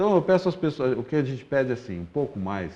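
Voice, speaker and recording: Fairly quick and dark, mellow in tone, a man's voice makes very wide pitch swings. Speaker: public transport official. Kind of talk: interview. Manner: fast.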